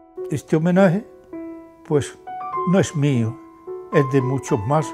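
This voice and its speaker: A man talks fairly slowly while clear music plays behind him. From Andalusia, Spain. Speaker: retired trade unionist. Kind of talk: interview answer. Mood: grateful, humble, emotional. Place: office.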